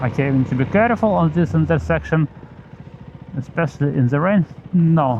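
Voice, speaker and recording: A man with a non-native accent and fairly high pitch, lively intonation, a fairly quick pace, long, frequent pauses and very even loudness, amid noticeable background noise. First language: Belarusian and Russian. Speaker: motovlogger. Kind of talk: casual vlog while riding. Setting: outdoors on motorcycle in rain. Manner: halting, many fillers.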